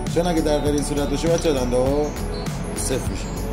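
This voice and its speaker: A man is speaking. Loud music plays behind him. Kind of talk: casual repair commentary. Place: workshop. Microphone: phone near.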